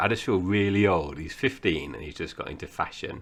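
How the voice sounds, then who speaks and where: A man talks at a very fast pace with a very deep, low pitch. His intonation is lively. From English Midlands, born in Essex. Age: 40s. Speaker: podcast host. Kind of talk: casual chat.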